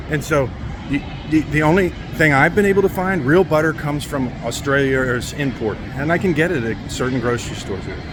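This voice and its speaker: A man's very fast, fairly high-pitched speech with an American accent and ordinary pitch variation, over noticeable background noise. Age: 60s. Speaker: vlogger. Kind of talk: casual monologue to camera. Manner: halting, with many fillers and restarts.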